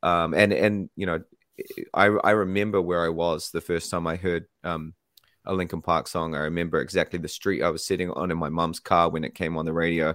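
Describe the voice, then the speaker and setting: Speaking in a New Zealand accent, a man with a very deep, low pitch talks at a fairly quick pace in a monotone, flat intonation on a very clean recording with a silent background. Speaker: band singer. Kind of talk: casual radio interview. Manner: warm, chatty.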